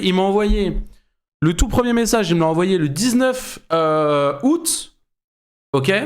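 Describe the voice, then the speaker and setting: In a room with audible echo, a man's high voice swings very widely in pitch. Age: 20s. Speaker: streamer reacting to videos. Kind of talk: live stream reaction commentary. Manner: animated.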